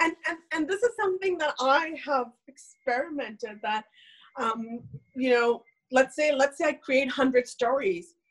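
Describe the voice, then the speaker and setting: A woman's high voice with lively intonation at a fairly slow pace. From India. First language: not English (English is third language). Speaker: nonprofit founder and author. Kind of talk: interview on live video stream. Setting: video call.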